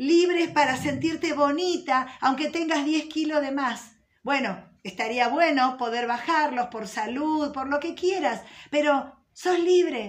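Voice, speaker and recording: Her tone warm and her pitch high, a woman speaks at a very slow pace. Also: ordinary pitch variation. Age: 50s. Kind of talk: religious teaching. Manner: warm, conversational.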